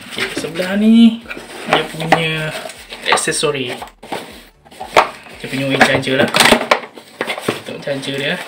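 A man speaks at a fairly slow pace, leaving long, frequent pauses. Loud noise fills the background. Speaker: product reviewer. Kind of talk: casual unboxing commentary. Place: home room. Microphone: phone near.

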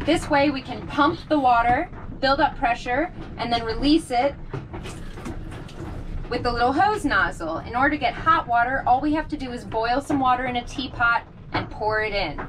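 A woman with a high voice speaks at a moderate pace with lively intonation and long, frequent pauses. There is noticeable background noise. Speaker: boat liveaboard vlogger. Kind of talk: tutorial. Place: bathroom. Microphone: camera far.

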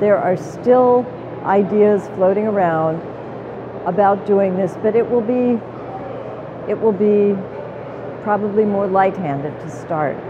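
Against noticeable background noise, a woman speaks at a fairly slow pace with long, frequent pauses and ordinary pitch variation. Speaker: legislator or policy commentator. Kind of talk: interview answer. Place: hall. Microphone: lapel.

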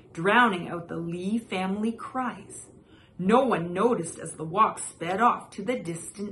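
In a natural reading voice, the pitch varies in an ordinary way.

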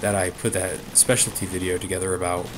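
A man talks at a moderate pace in a very deep, low pitch. Noticeable background noise runs behind him. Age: 20s. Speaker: gaming YouTuber. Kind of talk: let's play commentary. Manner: halting, many fillers; casual rambling.

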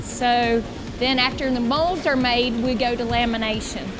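Over clear music in the background, a woman talks at a very slow pace in a high pitch. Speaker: boat company staff guide. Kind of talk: factory tour explanation. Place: factory. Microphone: lapel.

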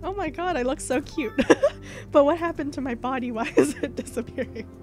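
Over music in the background, a woman with a high voice talks at a fairly quick pace, her pitch shifting in an ordinary way. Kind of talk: casual gaming commentary and rant. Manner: chatty, rambling.

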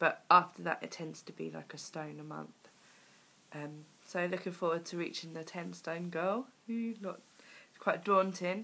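At a moderate pace, a woman with a fairly low pitch keeps her intonation fairly even while her loudness swings widely. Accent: British. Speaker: weight loss vlogger. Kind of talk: video diary. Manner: hesitant, many fillers.

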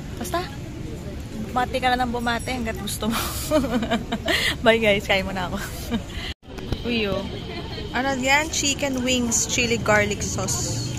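Her pace is moderate with ordinary pitch variation, and this woman leaves long, frequent pauses in a dry recording with no echo while crowd noise runs in the background. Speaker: vlogger celebrating anniversary. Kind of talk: casual vlog chat. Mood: playful, affectionate. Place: cafe.

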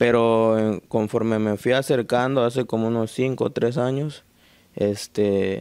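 In a quiet setting, a man with a medium-pitched, dark, mellow voice talks at a very slow pace with fairly even intonation. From Mexico, Guerrero (Tecpan); Guerrero, Mexico. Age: young. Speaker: painter and folk dancer. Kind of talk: interview. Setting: at home. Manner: halting.

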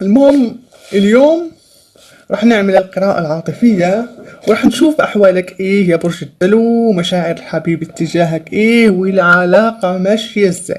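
Her intonation is lively, and her pitch sits in the medium range. The woman speaks at a fairly slow pace. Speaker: tarot reader. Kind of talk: tarot reading. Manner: hesitant with many fillers. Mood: upbeat, encouraging. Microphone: phone near.

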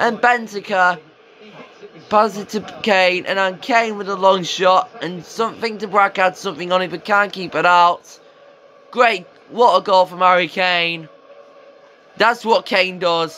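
A man's high, bright and sharp voice, raised and projected, with long, frequent pauses over light background noise. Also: fairly slow pace. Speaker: football video game commentator. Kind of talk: sports commentary. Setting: video game commentary voiceover. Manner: excitable on goals, otherwise flat and matter-of-fact. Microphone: phone near.

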